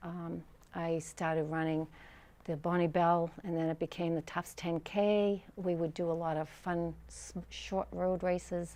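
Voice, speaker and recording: Speaking at a fairly slow pace in an American accent, a woman has a dark, mellow tone, a fairly low pitch and monotone, flat intonation. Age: 70s. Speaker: retired teacher and runner. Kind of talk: interview testimony. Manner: halting, many fillers.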